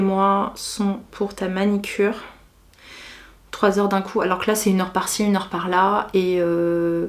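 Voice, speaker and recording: Her pitch medium and her intonation monotone and flat, a woman speaks at a fairly slow pace. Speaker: beauty and lifestyle vlogger. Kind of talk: casual chat. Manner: relaxed, unhurried.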